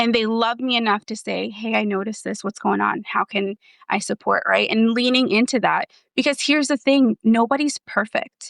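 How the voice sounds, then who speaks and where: A woman with an American accent has an ordinary speaking voice, fairly high in pitch with ordinary pitch variation. She talks at a moderate pace, and the sound is dry and close with no echo. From New Jersey. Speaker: therapist and former foster youth. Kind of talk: podcast interview.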